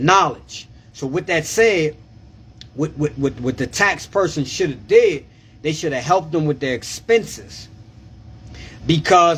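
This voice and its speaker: Speaking at a fairly slow pace, a man keeps his intonation lively. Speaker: tax preparer. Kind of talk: live stream tax advice. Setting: live video stream. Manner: loud; animated.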